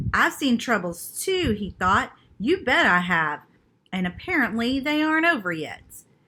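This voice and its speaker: A woman uses a put-on character voice at a fairly high pitch. She moves at a moderate pace with very wide pitch swings. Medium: read story. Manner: weary, flat.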